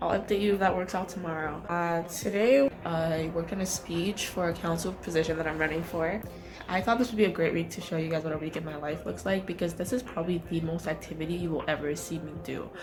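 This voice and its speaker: Amid audible room echo and music in the background, a woman with a fairly low pitch speaks at a very fast pace. She has hardly any pauses and ordinary pitch variation. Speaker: medical student. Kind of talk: vlog.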